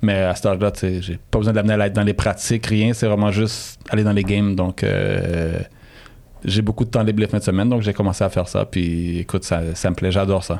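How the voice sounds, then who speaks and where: A man with a Quebec accent speaks at a fairly quick pace in a fairly low pitch, his tone dark and mellow. His intonation stays monotone and flat. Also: very even loudness. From Montreal, Saint-Michel, Quebec. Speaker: DJ. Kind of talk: interview. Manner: halting.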